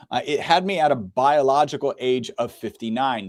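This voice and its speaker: In a very clean recording with a silent background and a dry, close sound with no echo, a man has an unremarkable speaking voice with a medium pitch and lively intonation. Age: 50s. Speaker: health product representative. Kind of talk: casual chat.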